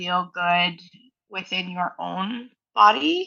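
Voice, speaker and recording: The voice carries a slight East Coast Canadian accent with ordinary pitch variation. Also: woman. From Nova Scotia, Canada (Halifax). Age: 30s. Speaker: flow artist and instructor. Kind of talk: casual interview chat. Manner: casual, many fillers like um and like.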